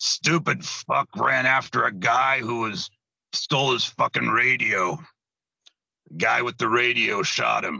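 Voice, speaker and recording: A raspy put-on character voice from a man at medium pitch, fairly slow with lively intonation. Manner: blunt and profane.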